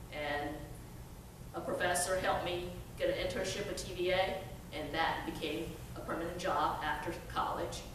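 A woman speaks at a moderate pace in a fairly low pitch. Audible room echo and noticeable background noise fill the recording. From China, raised from teens in Chattanooga, Tennessee. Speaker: workforce development trainer. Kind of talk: storytelling talk. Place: hall. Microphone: podium.

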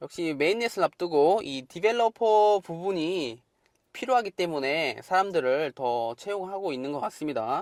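With very wide pitch swings, a man speaks high in pitch at a moderate pace, the sound dry and close with no echo on a very clean recording with a silent background. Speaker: crypto YouTuber. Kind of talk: monologue video update.

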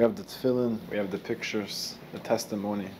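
Very fast male speech with light background noise. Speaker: interviewer. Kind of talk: casual talk to camera. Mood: moved, earnest. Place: home room. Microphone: lapel.

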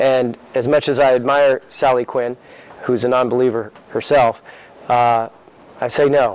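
Recorded dry with no echo, a man speaks with fairly even intonation. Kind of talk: speech to a meeting. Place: meeting room.

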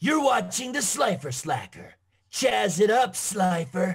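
Putting on a character voice, a man speaks high at a fairly slow pace. His pitch swings very widely.

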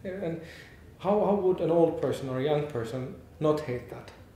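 Audible room echo and light background noise surround a man speaking at a fairly high pitch. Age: 40s. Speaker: game company founder, education expert. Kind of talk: interview answers. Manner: halting, many fillers. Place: hall.

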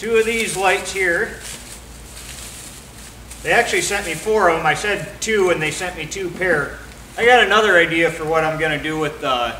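A man talks at a moderate pace, with long, frequent pauses and ordinary pitch variation. Light background noise and audible room echo surround his voice. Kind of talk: casual tutorial chat. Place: garage. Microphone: camera far.

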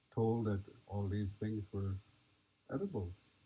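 Somewhat breathy, a man speaks very slowly at a fairly low pitch. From Nez Perce. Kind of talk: talk to an audience. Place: tent.

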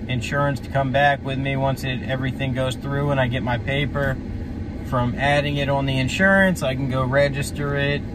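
Against noticeable background noise, a man speaks at a fairly quick pace in a dry sound with no echo. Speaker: trucker vlogger. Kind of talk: casual vlog chat. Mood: frustrated then relaxed. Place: car.

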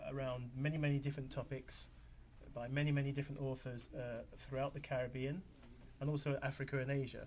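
Against light background noise, a man with a London accent talks at a very fast pace in a fairly high voice with monotone, flat intonation. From London, England. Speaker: author; TV guest. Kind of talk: TV interview. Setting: TV studio. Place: studio.

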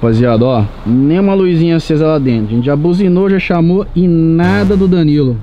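Over light background noise, a man with a high pitch speaks with lively intonation. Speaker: YouTuber. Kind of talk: casual vlog. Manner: animated. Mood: playful, joking.

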